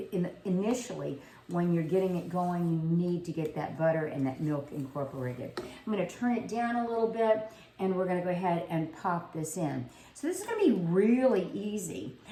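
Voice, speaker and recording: A woman with an American accent speaks at a fairly low pitch and a moderate pace, her intonation lively. There is audible room echo and noticeable background noise. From South Louisiana. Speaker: home cooking video host. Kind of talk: cooking tutorial. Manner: casual, conversational.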